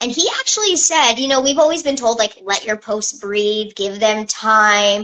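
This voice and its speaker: A woman speaks with lively intonation. Her pitch sits fairly high. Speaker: travel business owner doing an Instagram live. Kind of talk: casual live stream chat. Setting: social media live video. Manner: fast; animated.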